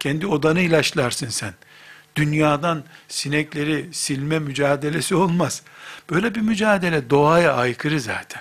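Here a man with an unremarkable speaking voice, fairly high in pitch, talks at a moderate pace with ordinary pitch variation. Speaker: Islamic preacher. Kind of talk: religious lecture.

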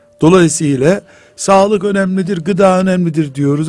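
A man is speaking with lively intonation. His is a normal speaking voice. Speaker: Islamic scholar. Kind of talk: religious radio talk. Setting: radio studio.

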